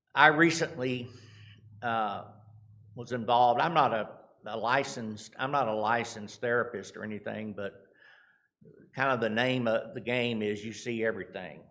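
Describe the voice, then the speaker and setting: In a Texan accent, a man talks at a moderate pace and medium pitch with a bright, sharp tone and ordinary pitch variation. Long, frequent pauses break up his speech, and room echo is audible. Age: 60s. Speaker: charity representative. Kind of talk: church mission talk. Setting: church. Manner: halting.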